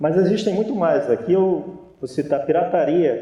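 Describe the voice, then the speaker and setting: A man speaks with a northeastern Brazilian accent and ordinary pitch variation. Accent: northeastern Brazilian (Natal), noticeable. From Brazil, Natal (Rio Grande do Norte). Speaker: naval officer and engineer. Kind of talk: conference lecture.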